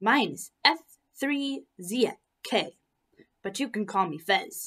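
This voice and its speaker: A woman puts on a character voice with a fairly high pitch, speaking at a very slow pace. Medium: read story.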